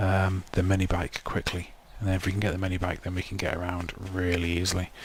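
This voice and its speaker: Over noticeable background noise, a man with a very deep, low pitch talks very fast in a monotone, flat intonation. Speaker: gaming video creator. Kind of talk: let's play commentary. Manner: hesitant with many ums; loud.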